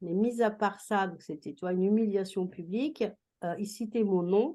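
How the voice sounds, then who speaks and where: A woman's dark, mellow tone at a medium pitch and moderate pace, ordinary pitch variation and big swings in loudness, against a quiet background. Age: 60s. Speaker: retired teacher and school coach. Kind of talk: interview testimony.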